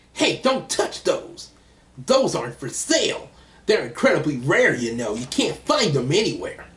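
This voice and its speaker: A man puts on a character voice. He keeps a moderate pace. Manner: brash, defensive.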